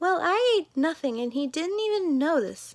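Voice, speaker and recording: A woman's squeaky, put-on character voice at an extremely high pitch. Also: moderate pace. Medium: read story. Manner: petulant.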